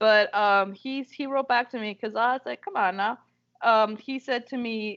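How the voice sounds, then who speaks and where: Here a woman speaks at a fairly high pitch with ordinary pitch variation. The sound is dry and close, with no echo. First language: bilingual Spanish and English. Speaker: poet and book reviewer. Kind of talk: casual interview chat. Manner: animated.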